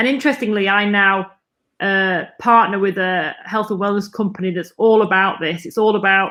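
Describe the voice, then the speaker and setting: A woman speaks in an ordinary speaking voice at medium pitch. Her pace is moderate and her intonation fairly even. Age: 40s. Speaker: nurse and cancer survivor. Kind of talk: podcast interview.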